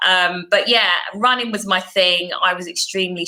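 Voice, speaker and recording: Noticeable background noise sits behind a woman's voice. She speaks at a fairly slow pace with a medium pitch. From London, Croydon. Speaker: former sprinter. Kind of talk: interview.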